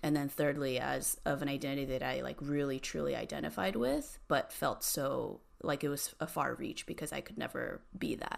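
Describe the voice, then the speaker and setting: With hardly any pauses, a woman talks at a moderate pace on a very clean recording with a silent background. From Southern California (Cerritos, near Long Beach). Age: 30s. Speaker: tech industry business lead. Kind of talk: casual interview chat.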